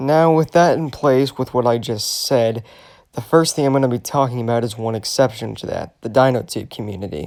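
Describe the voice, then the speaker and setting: On a very clean recording with a silent background, a man speaks quietly at a fairly quick pace, his medium pitch showing ordinary variation. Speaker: commentary YouTuber. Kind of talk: rant.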